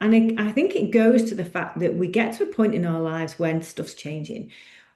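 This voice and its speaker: A somewhat breathy woman with a dark, mellow tone speaks fairly quickly in a fairly high pitch with ordinary pitch variation. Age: 50s. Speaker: personal trainer. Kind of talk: podcast monologue. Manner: halting.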